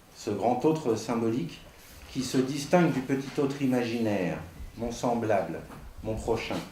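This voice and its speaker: A man talks at a fairly slow pace with a medium pitch and ordinary variation in it. Room echo is audible around his voice. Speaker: psychoanalyst speaking at a conference. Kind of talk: conference talk. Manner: formal, read from text.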